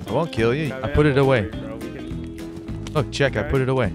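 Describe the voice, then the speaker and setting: With music in the background, a man talks at a fairly quick pace in a medium pitch, with ordinary pitch variation. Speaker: gamer, proximity chat.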